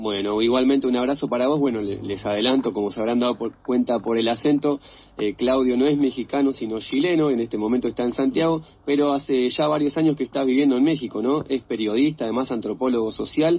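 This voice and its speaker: Talking at a very fast pace, a man with a Rioplatense accent uses a medium pitch and ordinary pitch variation. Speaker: radio host. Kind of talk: live radio talk show.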